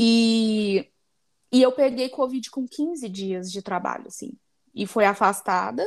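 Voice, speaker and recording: Speaking very slowly, a woman with a fairly high pitch and ordinary pitch variation shows big swings in loudness. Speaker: podcast co-host. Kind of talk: casual chat.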